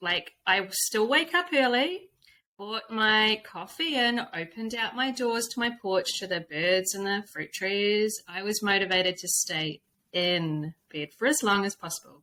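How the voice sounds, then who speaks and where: A woman with a New Zealand accent and lively intonation. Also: medium pitch for a woman, fairly slow pace. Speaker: intuitive coach and spiritual guide. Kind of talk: casual chat. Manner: animated.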